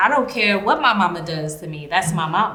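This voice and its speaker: A woman talks at a moderate pace. Audible room echo and noticeable background noise are present. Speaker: podcast host, educator and writer. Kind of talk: casual conversation about love. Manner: loud.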